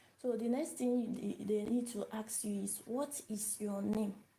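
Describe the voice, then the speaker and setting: Against noticeable background noise, a woman speaks at a fairly slow pace with a fairly high pitch and fairly even intonation. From Nigeria. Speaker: language teacher. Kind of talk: live-stream language lesson. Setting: live video stream. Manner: repetitive, hesitant with fillers.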